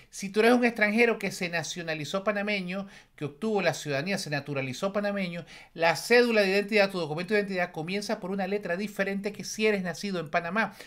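Against a quiet background, a man talks at a very fast pace. His pitch is high and varies in an ordinary way. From Venezuela. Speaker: YouTuber commentator. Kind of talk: video commentary. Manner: repetitive stammering. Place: home room.

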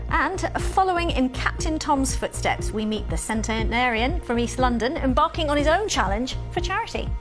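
With clear music in the background, a woman speaks at a moderate pace with hardly any pauses. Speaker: TV news presenter. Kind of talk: TV news introduction. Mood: warm, upbeat. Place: studio.

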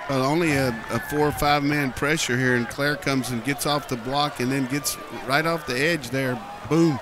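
Over noticeable background noise, a man with a fairly high pitch talks at a moderate pace in a dry sound with no echo. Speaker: color analyst. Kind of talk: live football game analysis. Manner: animated, conversational, explaining plays with folksy asides.

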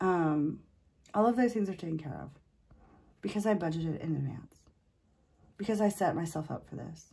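A woman's somewhat breathy voice, dark and mellow in tone, sits at a fairly low pitch with ordinary pitch variation and moves at a moderate pace. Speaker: personal finance vlogger and waitress. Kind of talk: casual vlog monologue. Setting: home video recording. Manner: casual with hesitations and fillers.

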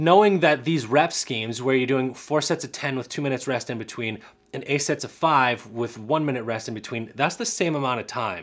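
Fairly quick speech from a man, with ordinary pitch variation. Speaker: physical therapist reviewing research. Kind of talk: explanatory vlog commentary.

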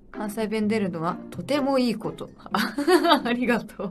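A woman talks with lively intonation while clear music plays in the background. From Japan. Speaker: pop idol. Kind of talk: casual livestream talk. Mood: cheerful, relaxed. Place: home room.

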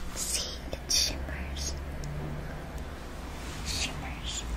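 A soft-spoken whisper comes through over noticeable background noise. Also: woman. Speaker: makeup roleplay creator. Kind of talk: roleplay tutorial chat. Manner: soft ASMR whisper, lips freshly glossed. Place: home room. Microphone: phone near.

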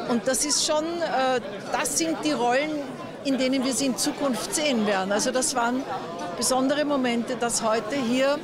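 A woman speaks at a moderate pace with ordinary pitch variation, the sound dry with no echo and crowd noise in the background. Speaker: event host giving a short interview. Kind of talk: interview answer. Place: street.

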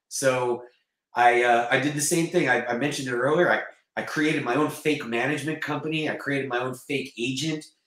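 In an American accent, a man talks at a fairly quick pace with fairly even intonation, audible room echo and a quiet background. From US South, North Carolina. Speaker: actor and martial artist; actor. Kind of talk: casual chat. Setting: video call. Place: home room.

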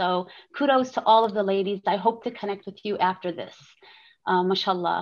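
Against a quiet background, a woman speaks at a fairly quick pace with ordinary pitch variation. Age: 50s. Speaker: manufacturing business owner; panelist. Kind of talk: panel discussion. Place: home room. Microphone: webcam.

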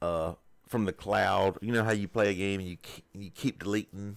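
Moderate-paced speech from a man in a Southern US accent, fairly low in pitch with ordinary pitch variation, in a very clean recording with a silent background. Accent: Southern US rural. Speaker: gaming YouTuber. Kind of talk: screen-recorded tutorial walkthrough. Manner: casual, hesitant.

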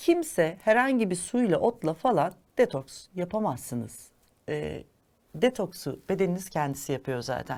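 Vocal fry, very wide pitch swings, and a fairly slow pace. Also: woman, fairly low pitch for a woman, very clean recording, silent background. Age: 50s. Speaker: holistic living consultant and chef. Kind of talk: educational monologue. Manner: formal.

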